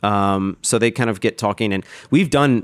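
A plain, everyday voice from a man with an American accent, fairly low in pitch with ordinary pitch variation, on a very clean recording with a silent background and a dry, close sound with no echo. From Texas, Austin. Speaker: head brewer. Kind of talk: casual interview.

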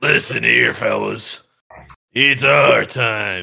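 In a raspy, put-on character voice, a man speaks at a very slow pace. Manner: menacing, blunt.

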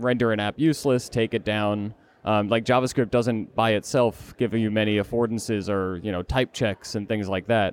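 Fairly quick and fairly even in intonation, a man talks in an unremarkable speaking voice with a fairly low pitch. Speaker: podcast host. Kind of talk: casual chat. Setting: conference venue.

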